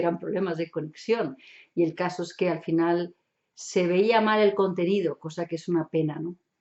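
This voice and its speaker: A woman speaks at a moderate pace with a strong German accent. Her pitch sits fairly low. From Germany. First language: German (speaking Spanish). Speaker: hypnotherapist and NLP instructor. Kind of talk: online show monologue. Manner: casual, chatty.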